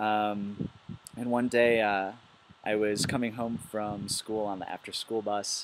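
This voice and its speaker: A man speaks at a fairly slow pace in a fairly low, monotone voice with flat intonation and an American accent. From US Midwest, Milwaukee, Wisconsin. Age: 20s. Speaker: biologist. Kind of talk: personal testimony video. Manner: hesitant, many fillers.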